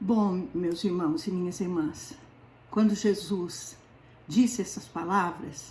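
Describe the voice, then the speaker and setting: A somewhat breathy woman at a very slow pace. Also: medium pitch for a woman, ordinary pitch variation. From southern Brazil, Paraná. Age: 70s. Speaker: lay preacher. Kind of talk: sermon.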